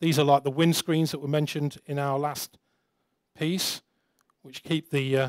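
A man speaks at a fairly slow pace with a fairly high pitch and little pitch movement. The sound is dry and close, with no echo.

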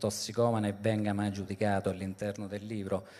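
His voice sits fairly low in pitch. This man's intonation stays flat and monotone. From Italy, rural province. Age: 40s. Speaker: journalist and novelist. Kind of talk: book presentation talk. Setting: live event with audience. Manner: halting, many fillers. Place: stage. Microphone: handheld.

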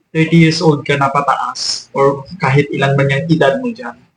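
A man is speaking. Music plays in the background. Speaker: vlogger. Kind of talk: angry rant, scolding lecture aimed at freeloading grown children. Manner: indignant, scolding, forceful and emphatic with repeated commands; rapid, exasperated, rhetorical tag questions like 'o di ba?'.

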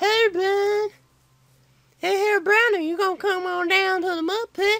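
In a put-on character voice pitched extremely high, a woman speaks at a moderate pace with a monotone, flat intonation. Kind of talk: folksy, casual.

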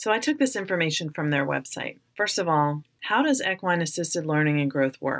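A woman's very deep, low-pitched voice. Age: 40s. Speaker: podcast host and psychotherapist. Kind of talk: personal reflective narration.

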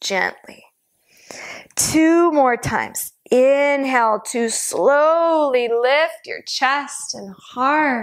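A woman talks at a very slow pace, with ordinary pitch variation and a quiet background. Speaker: yoga instructor. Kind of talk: guided exercise instruction. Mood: calm, encouraging. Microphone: lapel.

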